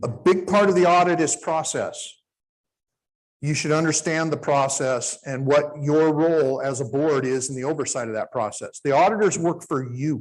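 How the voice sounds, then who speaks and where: A man with an ordinary speaking voice and a fairly high pitch talks at a moderate pace with ordinary pitch variation over a quiet background. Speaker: conference presenter on public finance. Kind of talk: conference presentation. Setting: conference room with live audience.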